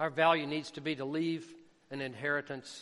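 Here a man speaks with a Southern US accent at a moderate pace. His pitch sits fairly high. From US South, Jackson. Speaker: missionary preacher. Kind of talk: sermon.

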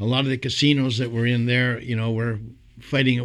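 A man at a very fast pace, in a Montreal accent, medium pitch and monotone, flat intonation. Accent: Canadian English (Montreal). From Montreal, Quebec. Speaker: singer and entertainer. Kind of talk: casual interview.

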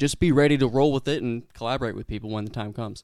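Moving at a fairly quick pace, a man has an unremarkable speaking voice at medium pitch with ordinary pitch variation. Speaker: podcast host. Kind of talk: casual chat.

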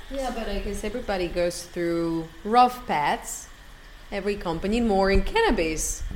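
A woman speaks at a moderate pace and a medium pitch, with ordinary pitch variation. Audible room echo and noticeable background noise come through. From Mexico, Guadalajara. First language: Spanish. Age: 30s. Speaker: chemist and startup founder. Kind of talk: interview.

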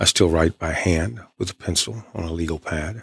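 Recorded very cleanly against a silent background, with a dry, close sound and no echo, a man speaks in a very deep, low, somewhat breathy voice at a moderate pace with fairly even intonation. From East Texas. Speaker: author and creative writing professor. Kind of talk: radio interview.

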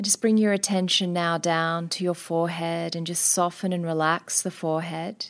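Gentle and calm in tone, a woman speaks with a fairly low pitch and monotone, flat intonation. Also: hardly any pauses, very clean recording, silent background. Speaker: naturopath and meditation instructor. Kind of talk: guided meditation. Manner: slow, calm, soothing; soft-spoken, gentle, with long pauses.

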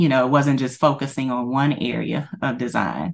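A woman's very deep, low voice with vocal fry, fairly even intonation and a moderate pace. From Louisiana. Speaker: human resources worker and aspiring designer. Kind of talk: interview.

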